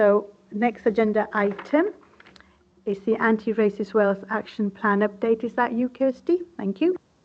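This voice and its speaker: At a moderate pace, a woman talks in a fairly high voice. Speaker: committee chair. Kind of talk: council committee meeting. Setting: hybrid meeting.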